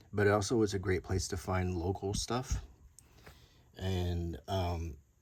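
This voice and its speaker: Soft-spoken and relaxed, a man talks with an American accent. His voice is very deep and low, and somewhat breathy. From Alabama, US South. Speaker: YouTuber, show and tell host. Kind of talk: casual show and tell. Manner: relaxed, unhurried.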